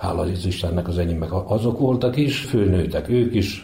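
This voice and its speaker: Through noticeable background noise, a man with a very deep, low pitch speaks at a fairly slow pace. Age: 60s. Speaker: grandfather. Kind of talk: interview.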